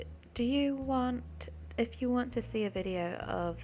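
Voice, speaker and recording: A woman's mumbling. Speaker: nail art video creator. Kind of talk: tutorial. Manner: mumbling, hesitant; casual, many fillers.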